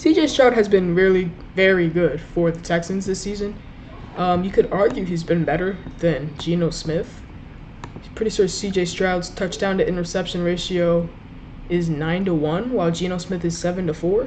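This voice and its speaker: Recorded with audible room echo and noticeable background noise, a woman speaks at a moderate pace in a fairly low pitch. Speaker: sports YouTuber. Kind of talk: solo sports ranking commentary. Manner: stuttering at times; casual, hesitant with fillers.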